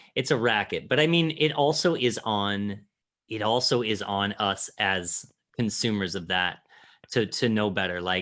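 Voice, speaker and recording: This man has an unremarkable speaking voice with a fairly low pitch. He talks at a fairly slow pace with lively intonation. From Illinois. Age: 40s. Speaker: podcast host. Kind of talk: casual chat.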